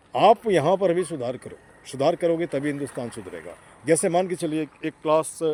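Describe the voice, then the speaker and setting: A man's normal speaking voice, fairly high in pitch, with lively intonation and big swings in loudness. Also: dry, close sound with no echo. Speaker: interviewer. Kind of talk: street interview questions.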